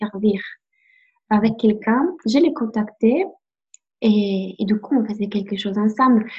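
A woman speaks in an Italian accent at a fairly high pitch and a moderate pace. Her voice is somewhat breathy, with ordinary pitch variation. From Italy. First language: Italian (speaking French). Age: 20s. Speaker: life coach. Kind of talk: interview. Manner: halting.

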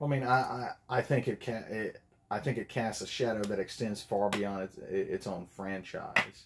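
A man's medium-pitched voice, an ordinary speaking voice. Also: ordinary pitch variation, moderate pace. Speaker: podcast guest. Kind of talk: casual chat.

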